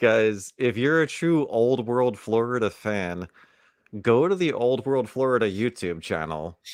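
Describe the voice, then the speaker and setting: An ordinary speaking voice from a medium-pitched man, with lively intonation at a fairly slow pace, against a quiet background. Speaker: podcast co-host. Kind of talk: casual chat.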